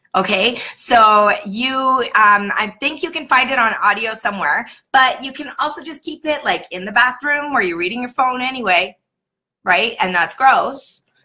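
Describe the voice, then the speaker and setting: With a bright, sharp tone, a woman talks at a moderate pace in a high pitch, her intonation lively and her loudness swinging widely. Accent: Canadian. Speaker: sales team leader training new consultants. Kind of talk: livestream training session. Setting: live video stream. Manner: casual, chatty.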